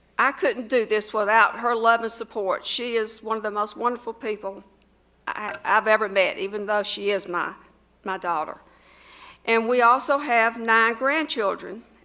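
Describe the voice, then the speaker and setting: Speaking with a Southern US accent, a woman has a bright, sharp tone and a fairly high pitch. She keeps a moderate pace with fairly even intonation. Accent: Southern US (Georgia). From US South, Georgia. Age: 60s. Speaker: mayoral candidate. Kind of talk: campaign speech. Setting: school assembly with audience.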